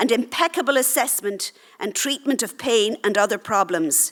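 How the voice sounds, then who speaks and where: A woman with an Irish accent speaks in a high voice with ordinary pitch variation at a moderate pace. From Ireland. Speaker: doctor. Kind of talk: conference talk, partly read aloud.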